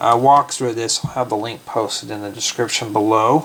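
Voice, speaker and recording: Over noticeable background noise, a man speaks with ordinary pitch variation. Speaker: Lego builder vlogger. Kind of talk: casual vlog tutorial planning. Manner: slow.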